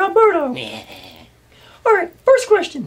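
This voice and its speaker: The cartoonish character voice is squeaky and female-sounding, pitched extremely high for a woman. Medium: puppet show. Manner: peppy, brisk.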